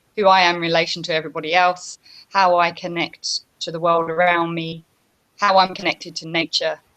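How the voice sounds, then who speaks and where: With a British accent, a woman speaks at a moderate pace in a fairly low pitch and monotone, flat intonation. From UK. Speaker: yoga teacher. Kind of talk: interview. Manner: hesitant.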